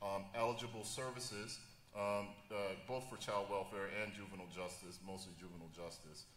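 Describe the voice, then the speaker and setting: A man with a fairly low pitch talks at a fairly quick pace with fairly even intonation, and audible echo fills the room. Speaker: juvenile justice professional. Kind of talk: panel discussion. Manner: halting, many fillers.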